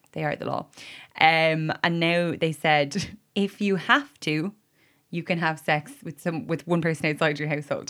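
A moderate pace and fairly even intonation, with an Irish accent. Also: woman, fairly low pitch for a woman, very clean recording, silent background. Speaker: podcast co-host. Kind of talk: casual chat.

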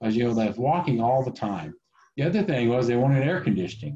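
The voice has a dark, mellow tone and a somewhat breathy quality. It comes with an American accent. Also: man. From Oklahoma. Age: 50s. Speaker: IT consultant. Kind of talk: casual interview. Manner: halting, many fillers.

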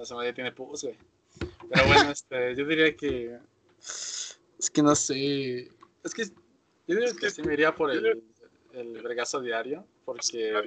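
Using a Mexican accent, a man with fairly high pitch speaks at a fairly slow pace with long, frequent pauses, big swings in loudness and ordinary pitch variation. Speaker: podcast host. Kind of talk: casual chat.

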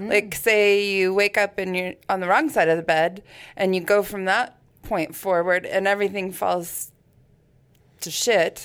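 A woman at medium pitch and a fairly slow pace, an ordinary speaking voice, in a very clean recording with a silent background. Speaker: podcast co-host. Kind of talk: casual interview chat.

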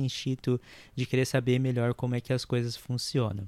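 The man has a medium-pitched voice. The recording is very clean with a silent background, and the sound is dry and close, with no echo. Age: 30s. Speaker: podcast host. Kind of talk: casual solo monologue. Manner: halting.

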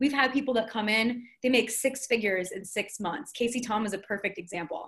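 Fairly high-pitched female speech at a fairly quick pace, with ordinary pitch variation. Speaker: business coach. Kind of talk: casual chat. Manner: articulate.

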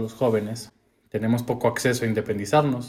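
Somewhat breathy, a man talks at a fairly quick pace with a medium pitch. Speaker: podcast co-host. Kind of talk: casual chat.

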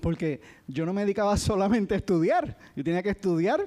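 Lively intonation runs through this man's speech. He keeps a moderate pace. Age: 50s. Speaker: lay preacher, accountant. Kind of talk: sermon. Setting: church.

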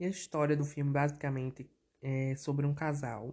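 Speaking at a moderate pace, a man has a somewhat breathy voice with a dark, mellow tone. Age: 20s. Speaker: podcast host. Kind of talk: casual solo podcast. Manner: animated.

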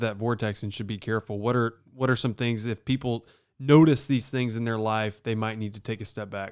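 Mid-range pitch from a man, fairly level intonation, moderate tempo. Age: 20s. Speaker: podcast host and football player. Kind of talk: casual interview chat. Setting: video call. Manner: calm.

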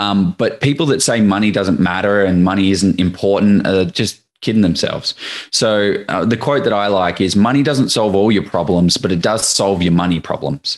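A man with an Australian accent speaks in a fairly low pitch at a very even loudness, with hardly any pauses. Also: ordinary pitch variation, moderate pace. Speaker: property investor. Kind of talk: casual interview. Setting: video call.

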